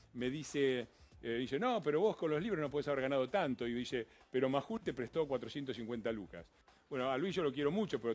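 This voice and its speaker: Talking at a very fast pace, a man with an Argentine accent uses lively intonation at a medium pitch. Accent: Argentine Spanish (Rioplatense). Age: 60s. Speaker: politician. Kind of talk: TV interview. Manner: animated.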